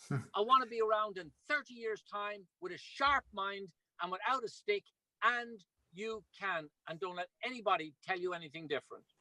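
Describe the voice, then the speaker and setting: Projecting a raised voice, a man with a high pitch and a bright, sharp tone sounds animated, with lively intonation and a dry, close sound that has no echo. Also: moderate pace. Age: 60s. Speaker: ultramarathon runner and product promoter. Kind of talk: video call presentation.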